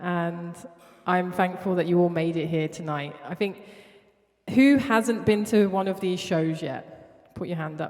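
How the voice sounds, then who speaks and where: With a South London accent, a woman talks at a fairly slow pace and fairly low pitch, using ordinary pitch variation and long, frequent pauses. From Southeast London. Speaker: artist. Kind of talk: spoken word performance. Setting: studio with live audience. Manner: repetitive, rhythmic.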